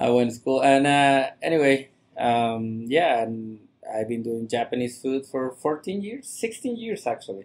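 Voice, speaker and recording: With a Mexican accent, a man speaks at a fairly slow pace and medium pitch. His intonation is lively. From Mexico, Monterrey. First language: Spanish. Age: 40s. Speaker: chef. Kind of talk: podcast interview. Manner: halting, many fillers.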